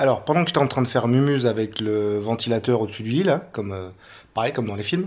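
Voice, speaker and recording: With a French accent, a man speaks at a medium pitch with ordinary pitch variation. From France. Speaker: travel vlogger. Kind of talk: travel vlog. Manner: casual, hesitant with many fillers.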